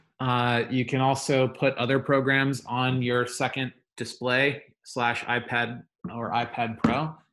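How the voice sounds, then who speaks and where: Against a quiet background, a man is talking. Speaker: teacher. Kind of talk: tutorial. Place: home room. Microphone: webcam.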